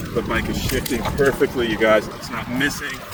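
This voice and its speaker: With noticeable background noise and audible room echo, a man speaks in a relaxed tone with monotone, flat intonation. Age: 60s. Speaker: e-bike vlogger. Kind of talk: casual ride-along vlog narration. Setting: outdoors on an e-bike. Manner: relaxed, meandering.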